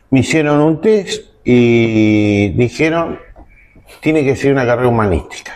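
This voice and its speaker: A man with a plain, everyday voice, medium pitch and a fairly slow pace. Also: lively intonation, very even loudness. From Argentina, Zárate (Buenos Aires province). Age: 60s. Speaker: lawyer and former coast guard officer. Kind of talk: interview testimony. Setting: restaurant recording.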